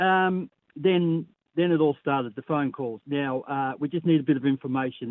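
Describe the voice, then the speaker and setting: A woman speaks with an Australian accent. Her pitch is very deep and low, with ordinary variation. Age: 60s. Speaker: caller. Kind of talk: call-in story.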